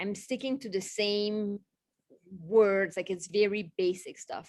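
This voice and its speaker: A woman with a non-native accent speaks at a very slow pace, her medium pitch held in fairly even intonation. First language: not English. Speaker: literacy specialist, former teacher. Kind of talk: panel discussion.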